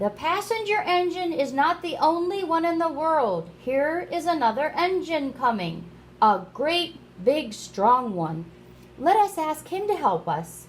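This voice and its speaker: Clear background noise runs under the recording. A woman uses a put-on character voice, pitched high and delivered fairly slowly. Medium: read story.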